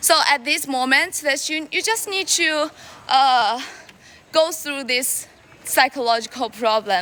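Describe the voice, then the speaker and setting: A woman's raised, projected voice, high in pitch, with lively intonation at a fairly slow pace. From China. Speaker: live streamer. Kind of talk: casual live stream chat. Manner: halting, with many fillers and repetitions.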